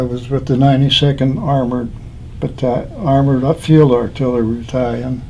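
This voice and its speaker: This man has a medium pitch, a moderate pace and a monotone, flat intonation, with an American accent. Room echo is audible, and background noise is noticeable. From Pennsylvania. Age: 80s+. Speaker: war veteran. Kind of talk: oral history interview. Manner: halting.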